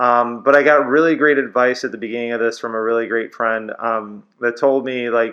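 A man in a normal speaking voice talks fairly quickly at a medium pitch with fairly even intonation. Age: 30s. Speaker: podcast co-host with cancer. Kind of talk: casual chat.

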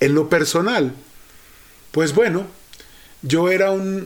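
A man at a very slow pace. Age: 50s. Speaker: psychologist podcast host. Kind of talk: solo podcast monologue, reflective talk.

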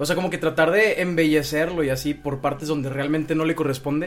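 A man with a plain, everyday voice speaks fairly quickly at a fairly high pitch, with ordinary pitch variation. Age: 20s. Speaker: amateur poet. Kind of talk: casual chat.

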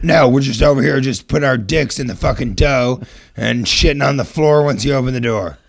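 Putting on a character voice, a man speaks raspy and fairly quick at a medium pitch. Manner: crude, mocking, sarcastic.

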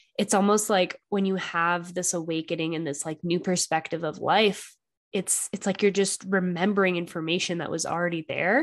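A woman's fairly low voice, a normal speaking voice, against a quiet background. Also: moderate pace. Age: 20s. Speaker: podcast host. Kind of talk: casual interview chat.

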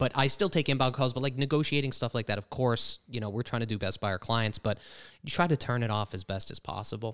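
With an American accent, the speaker goes at a very fast pace with ordinary pitch variation, on a very clean recording with a silent background and a dry, close sound with no echo. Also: man, medium pitch for a man. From Pennsylvania. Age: 30s. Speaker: real estate team leader. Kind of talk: casual chat.

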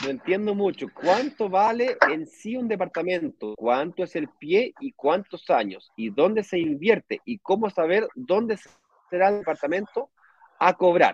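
Pitched high, a man speaks fairly slowly with lively intonation. The sound is dry and close, with no echo. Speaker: real estate investment advisor. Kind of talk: online live stream Q&A.

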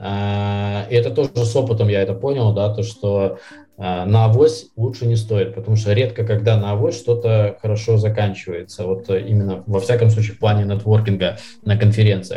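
This man has a dark, mellow, fairly low voice that is somewhat breathy. He speaks at a moderate pace with fairly even intonation. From Belarus, Minsk. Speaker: sales professional. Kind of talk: casual interview.

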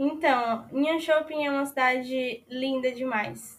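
A woman speaks fairly slowly in a high voice with monotone, flat intonation. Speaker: university exchange student. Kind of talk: interview.

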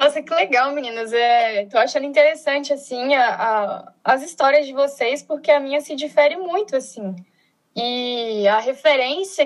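A woman's high-pitched voice at a moderate pace. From Brazil, Brasília. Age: 20s. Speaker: social project founder, sociologist. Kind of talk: casual chat. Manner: animated.

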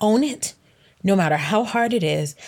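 The recording is very clean, and the background is silent. At a moderate pace, a woman talks with lively intonation. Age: 30s. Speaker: podcast host and life coach. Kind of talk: motivational monologue. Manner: animated.

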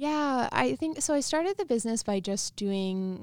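An ordinary speaking voice with a Canadian accent moves at a moderate pace with lively intonation. The recording is very clean, with a silent background. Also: woman. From Saskatchewan, Canada. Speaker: wellness business founder. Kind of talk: interview.

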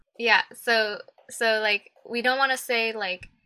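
With an American accent, a woman speaks in a monotone, flat way at a fairly high pitch with a bright, sharp tone, on a very clean recording with a silent background and a dry, close sound with no echo. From Texas. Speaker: podcast guest, activist. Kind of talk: casual chat.

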